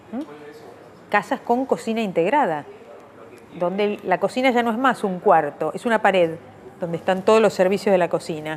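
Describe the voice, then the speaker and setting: Moderate pace and lively intonation. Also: woman. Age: 60s. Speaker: anthropologist. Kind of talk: interview.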